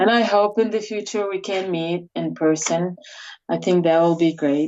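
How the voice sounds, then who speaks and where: At a moderate pace, a woman speaks with an Iraqi accent. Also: fairly even intonation. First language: Arabic. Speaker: atheist activist, immigrant. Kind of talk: interview. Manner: halting, many fillers.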